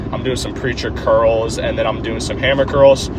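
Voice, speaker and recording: The room echo is audible and there is noticeable background noise. A man speaks with ordinary pitch variation. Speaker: fitness vlogger. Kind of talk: casual gym vlog. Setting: gym. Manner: stutters over words.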